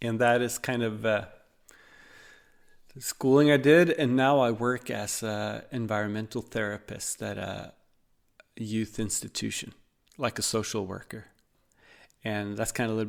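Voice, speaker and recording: A man with a Norwegian accent speaks at medium pitch and a moderate pace, with fairly even intonation. Long, frequent pauses break up his speech on a very clean recording with a silent background. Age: 40s. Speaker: podcaster, social worker. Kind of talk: podcast monologue. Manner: halting, many fillers.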